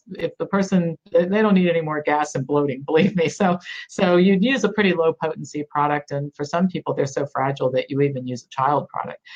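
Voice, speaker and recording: In an ordinary speaking voice, a woman talks at a fairly quick pace with hardly any pauses, a fairly low pitch and ordinary pitch variation. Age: 60s. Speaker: doctor and nutrition educator. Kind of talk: interview.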